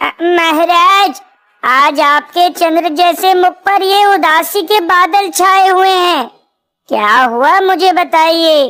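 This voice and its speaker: A woman does a cartoonish character voice at an extremely high pitch, with ordinary pitch variation. She talks at a very slow pace and her loudness stays very even. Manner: sly, flattering.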